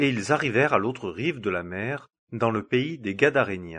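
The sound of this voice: There's a slightly husky edge to this man's fairly bright tone.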